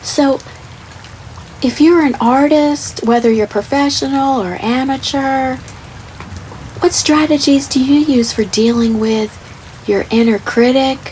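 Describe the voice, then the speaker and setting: A soft-spoken woman with a high pitch talks at a fairly slow pace, leaving long, frequent pauses. Noticeable background noise runs beneath her. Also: ordinary pitch variation. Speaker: artist. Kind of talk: ASMR soft-spoken art tutorial talk. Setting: rain sounds in background.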